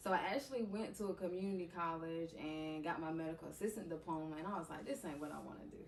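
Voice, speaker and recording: Noticeable background noise sits behind a woman with an American accent who talks very fast at a fairly low pitch with ordinary pitch variation. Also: hardly any pauses. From eastern North Carolina (Bailey). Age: 20s. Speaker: podcast guest, content creator. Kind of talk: casual interview conversation.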